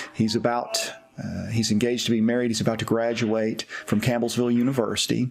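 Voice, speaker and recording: Over noticeable background noise and audible room echo, a man with a Tennessee accent speaks at a medium pitch in a monotone, flat intonation. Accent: Southern US (Tennessee). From US South, East Tennessee. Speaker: pastor. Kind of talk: personal testimony.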